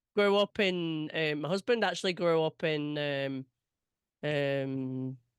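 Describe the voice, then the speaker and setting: Against a quiet background, a woman with a very deep, low voice talks very slowly with ordinary pitch variation, the sound dry and close with no echo. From England. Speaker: interviewer and event organiser. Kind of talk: casual interview.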